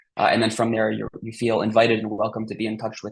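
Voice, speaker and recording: A man with a medium-pitched voice speaks with vocal fry. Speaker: regional coordinator of research outreach program. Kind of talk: conference presentation. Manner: fast.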